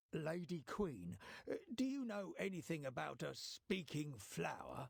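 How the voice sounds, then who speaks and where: A man's put-on character voice, fairly high in pitch and fairly slow in pace. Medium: video game.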